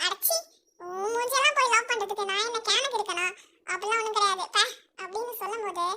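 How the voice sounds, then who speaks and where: A squeaky, put-on character voice with an extremely high pitch. The pace is fairly quick. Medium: read story.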